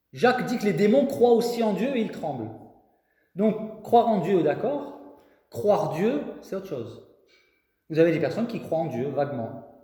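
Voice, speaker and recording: The speaker talks at a fairly slow pace with long, frequent pauses and very wide pitch swings, and room echo is audible. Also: man, high pitch for a man. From southern France, Marseille. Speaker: preacher. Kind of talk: sermon. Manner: animated.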